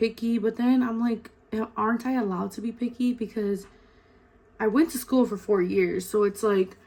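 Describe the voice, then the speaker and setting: A woman speaks at a fairly high pitch with ordinary pitch variation. Noticeable background noise is present. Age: 20s. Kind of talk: casual talk to camera. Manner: chatty, casual.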